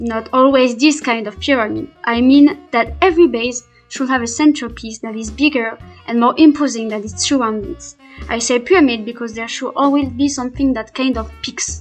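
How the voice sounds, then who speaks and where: A woman's high voice with a non-native accent, moderate pace, ordinary pitch variation and big swings in loudness, over music in the background. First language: not English. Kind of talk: Minecraft gameplay voiceover. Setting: poor home microphone. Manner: hesitant, not fluent.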